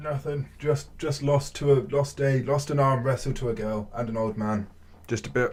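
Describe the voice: A man puts on a gruff character voice. He speaks at a moderate pace and a medium pitch.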